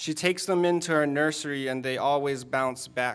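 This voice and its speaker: This man has a normal speaking voice with an American accent and fairly high pitch, recorded very cleanly against a silent background. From Dorchester, Boston. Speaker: spoken word poet. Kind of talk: spoken word poetry performance.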